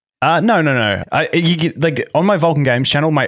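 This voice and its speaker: On a very clean recording over a silent background, this man talks at a fairly quick pace. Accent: Australian. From Melbourne, Australia. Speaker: YouTube content creator. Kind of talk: casual interview chat. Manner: fast talker, effusive.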